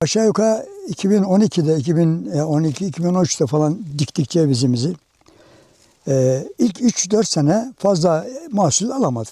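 Very slow and very even in loudness, a man's high-pitched voice moves through very wide pitch swings. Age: 70s. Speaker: walnut farmer. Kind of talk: interview.

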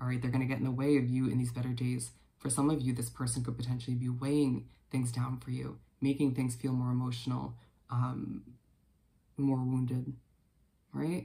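The tone is dark and mellow, and somewhat breathy. The speech goes at a fairly quick pace in a monotone, flat intonation. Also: man. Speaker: tarot reader. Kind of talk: casual reading to viewers. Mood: calm, reassuring. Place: home room. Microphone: earbuds.

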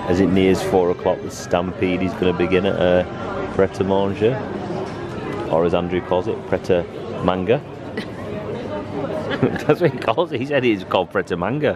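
Against crowd noise in the background, a man speaks at a moderate pace with ordinary pitch variation. He leaves long, frequent pauses, and the sound is dry with no echo. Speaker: family vlogger. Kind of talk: casual vlog chat. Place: station. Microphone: phone near.

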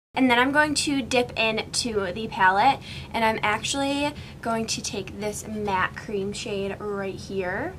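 Noticeable background noise runs under the clip. A woman speaks with ordinary pitch variation. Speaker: beauty vlogger. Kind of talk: tutorial. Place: home room.

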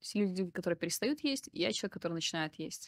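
A woman speaks with lively intonation. The sound is dry, without echo, over a quiet background. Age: 30s. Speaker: psychotherapist and video blogger; video blogger. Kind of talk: personal monologue to camera. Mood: calm, reflective, personal. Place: home room. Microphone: studio mic.

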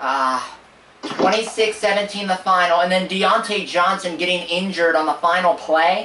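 There is audible room echo and light background noise as the voice, raised and projected, moves with ordinary pitch variation. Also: man. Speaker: sports fan streamer host. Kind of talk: angry sports rant, reaction stream. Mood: frustrated, disappointed. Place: home room. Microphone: camera far.

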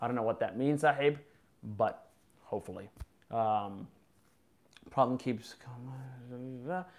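A man's fairly slow speech with long, frequent pauses and ordinary pitch variation. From US, Boston. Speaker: YouTuber. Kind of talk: live stream chat. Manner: casual, unscripted. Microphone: webcam.

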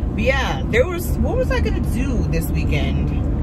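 A woman talks at a fairly slow pace. Loud background noise is heard behind her. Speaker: vlogger. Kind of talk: casual vlog chat. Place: car.

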